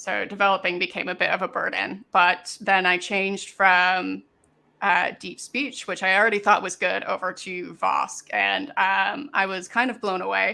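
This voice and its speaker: A woman speaks at a moderate pace with a slight Canadian accent. The recording is very clean, with a silent background. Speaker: maker, project creator. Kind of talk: interview. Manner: halting, many fillers.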